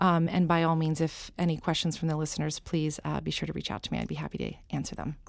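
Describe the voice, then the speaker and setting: On a very clean recording with a silent background, a woman talks in an American accent. Her pace is very fast, with hardly any pauses. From US, small-town Pennsylvania. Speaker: nonprofit director. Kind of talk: interview.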